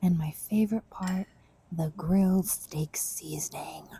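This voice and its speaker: Soft-spoken and somewhat breathy, a woman talks very slowly with a dark, mellow tone and fairly even intonation. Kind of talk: ASMR cooking tutorial. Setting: home kitchen.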